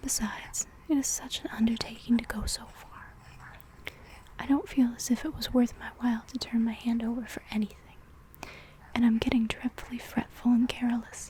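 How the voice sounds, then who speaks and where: A woman whispers at a moderate pace, with big swings in loudness. Noticeable background noise sits behind her. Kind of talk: soft-spoken reading of a classic story for ASMR. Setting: ASMR recording with layered writing and page sounds. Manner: soft-spoken, whispery.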